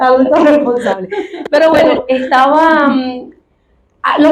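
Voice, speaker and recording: With a Venezuelan accent, a woman speaks at a fairly slow pace. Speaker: migrant telling her life story. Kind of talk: interview testimony.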